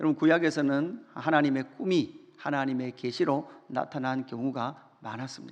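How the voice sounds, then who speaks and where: This is a normal speaking voice at a moderate pace. Intonation is fairly even, and there are hardly any pauses. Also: man, fairly high pitch for a man. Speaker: pastor. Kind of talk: sermon.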